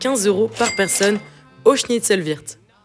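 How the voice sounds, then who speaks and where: Over background music, a woman with a fairly high pitch talks at a fairly slow pace. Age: 20s. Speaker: travel vlogger. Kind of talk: casual talk to camera.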